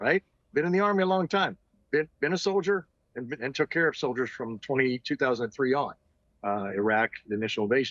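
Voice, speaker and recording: A man's fairly high-pitched voice moves in very wide pitch swings. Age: 60s. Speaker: retired army officer and doctor. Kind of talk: interview.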